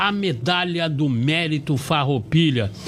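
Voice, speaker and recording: At a fairly slow pace, a man with a fairly high pitch speaks while noticeable background noise goes on. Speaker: TV program host. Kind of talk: live TV studio presenting.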